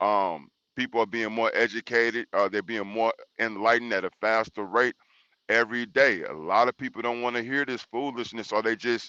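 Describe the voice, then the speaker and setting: Loud and bright, a man's sharp-toned voice moves at a fairly quick pace with medium pitch and fairly even intonation. The sound is dry and close with no echo, over a quiet background. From Texas, Houston. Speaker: panel debate guest. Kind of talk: panel debate. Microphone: audio checked, said good.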